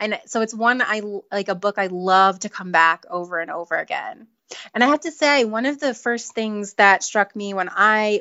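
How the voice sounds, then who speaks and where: Using a plain, everyday voice, a woman speaks at a fairly high pitch with ordinary pitch variation. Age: 30s. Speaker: author. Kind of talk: interview. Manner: laughs often.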